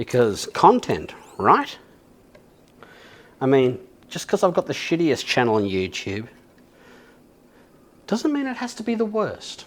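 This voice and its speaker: A man with an Australian accent speaks at a fairly slow pace in a high pitch, with very wide pitch swings and big swings in loudness. Long, frequent pauses break up his speech. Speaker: YouTuber and bass guitarist. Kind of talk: casual chat while working on a guitar. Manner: relaxed, chatty.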